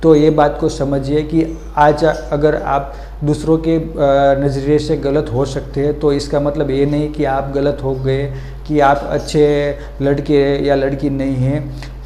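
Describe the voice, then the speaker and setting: The man speaks with a Gujarati accent, with audible room echo and noticeable background noise. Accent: Gujarati-accented Hindi. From Gujarat, India (Vadodara). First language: Gujarati (speaking Hindi). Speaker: motivational video creator. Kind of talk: motivational talk. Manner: halting, many fillers.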